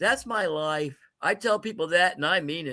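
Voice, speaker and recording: A man's voice is raised and projected, with a bright, sharp tone. The recording is very clean, with a silent background. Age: 60s. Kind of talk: live sales stream chat. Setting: livestream from home, dim room. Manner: casual, chatty.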